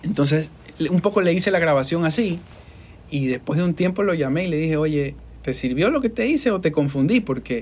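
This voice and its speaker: A man speaks with a fairly high pitch and lively intonation. His pace is fairly quick. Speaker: podcast host and voice-over artist. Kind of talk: casual interview. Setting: studio.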